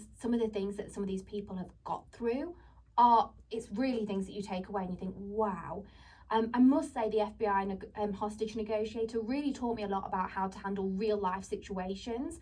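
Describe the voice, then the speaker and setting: Somewhat breathy and dark, mellow in tone, a woman with a fairly high pitch speaks at a fairly quick pace with ordinary pitch variation. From England. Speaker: podcast host. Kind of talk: radio interview. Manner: animated.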